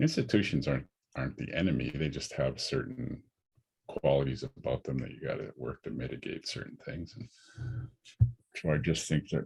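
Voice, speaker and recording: A man's very deep, low voice with vocal fry and lively intonation at a moderate pace. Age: 60s. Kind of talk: lecture Q&A. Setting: online discussion. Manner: halting, many repetitions.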